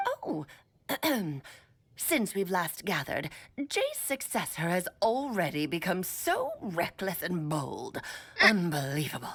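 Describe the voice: Using a put-on character voice at a medium pitch, a woman talks fairly slowly with long, frequent pauses.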